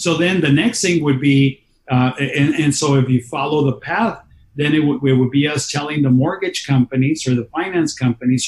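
A man with an American accent talks at a moderate pace in a fairly high, somewhat breathy voice. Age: 50s. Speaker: county politician. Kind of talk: interview.

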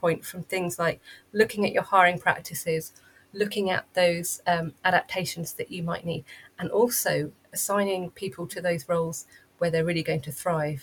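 A woman speaks at a medium pitch and moderate pace. Her voice is somewhat breathy. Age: 40s. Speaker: neurodiversity coach and consultant. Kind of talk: interview. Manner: halting.

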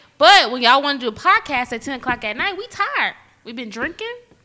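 A woman with a high pitch projects a raised voice, her bright, sharp tone moving fairly quickly through very wide pitch swings. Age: 30s. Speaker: podcaster guest. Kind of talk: casual chat.

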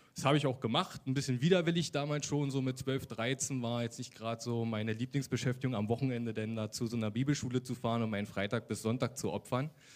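A man talks at a very fast pace with hardly any pauses. His pitch is medium and his intonation fairly even. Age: 30s. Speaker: social worker giving faith testimony. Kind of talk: testimony interview. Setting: church service with congregation.

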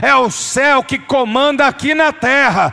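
With an animated tone, a man uses a raised, projected voice at an extremely high pitch. Background noise is noticeable. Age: 50s. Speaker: pastor. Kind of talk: sermon.

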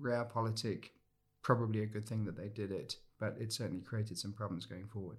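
A man with a fairly low, somewhat breathy voice talks at a very fast pace with fairly even intonation. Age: 50s. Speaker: former war correspondent and lecturer. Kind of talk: interview conversation.

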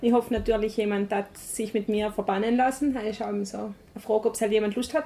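Talking at a very fast pace, a woman with a fairly high voice keeps her intonation fairly even. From South Tyrol, Meran. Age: 20s. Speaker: charity staff member. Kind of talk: interview. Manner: halting.

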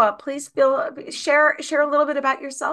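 A raised, projected voice moves at a fairly quick pace. The tone is bright and sharp. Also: woman. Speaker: podcast host and educator. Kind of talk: interview, podcast host.

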